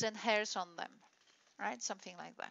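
A woman is speaking. Her pitch sits fairly high. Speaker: university lecturer. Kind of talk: lecture. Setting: recorded video lecture. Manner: halting, with fillers.

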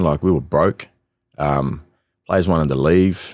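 A man talks at a fairly slow pace with ordinary pitch variation. The sound is dry with no echo, over a quiet background. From Australia (Northern Territory). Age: young. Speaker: musician and former professional footballer. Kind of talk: casual interview. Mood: relaxed, candid. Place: studio. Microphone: studio mic.

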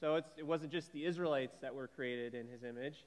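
A man at a moderate pace, his pitch varying in an ordinary way. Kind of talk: welcome and short devotional. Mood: warm, light humor. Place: church.

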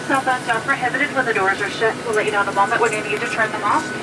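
A woman's voice over noticeable background noise. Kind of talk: safety announcement. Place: plane.

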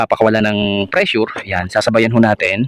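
This man has a plain, everyday voice, medium in pitch, and he talks at a moderate pace. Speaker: aircon technician vlogger. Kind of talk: on-site repair tutorial. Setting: outdoors at a house, hot sun. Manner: casual, with many fillers.

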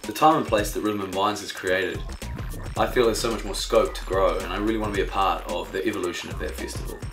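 Against clear music in the background, a man with a New Zealand accent speaks at a very fast pace. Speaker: DJ and events manager. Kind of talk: casual talk to camera. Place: home room. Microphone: lapel.

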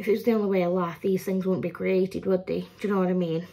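Her tone is dark and mellow. The woman speaks with monotone, flat intonation. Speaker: haul vlogger. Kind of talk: casual vlog chat. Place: kitchen. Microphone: phone near.

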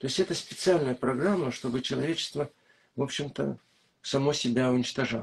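A man speaks at a fairly quick pace with vocal fry. The background is quiet. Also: ordinary pitch variation. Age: old. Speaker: psychologist and author; interviewee. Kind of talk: interview. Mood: calm, explanatory. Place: home room. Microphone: video call.

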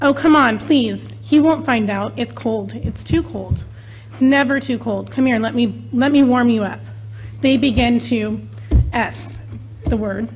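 A woman talks at a fairly slow pace over music in the background. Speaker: parent giving public comment. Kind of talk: public comment reading. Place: hall. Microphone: podium.

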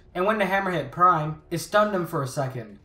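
Over noticeable background noise, a man talks at a very fast pace in a high pitch. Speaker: YouTube host explaining movie lore. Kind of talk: scripted narration.

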